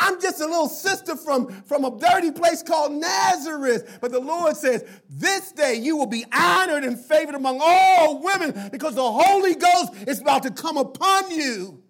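A man speaks at a moderate pace in an extremely high voice, animated and lively in intonation. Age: 70s. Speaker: pastor. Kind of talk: sermon.

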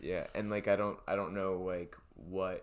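Speaking at a fairly slow pace with an American accent, a man delivers his words in a very deep, low pitch and a monotone, flat intonation. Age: 20s. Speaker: podcast guest, host's brother. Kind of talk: casual chat.

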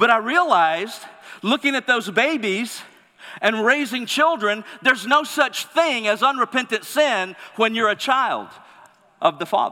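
A man with an extremely high pitch speaks in a raised, projected voice at a fairly slow pace. His intonation is lively and his loudness very even. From Mississippi. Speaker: pastor. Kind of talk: sermon. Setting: church.

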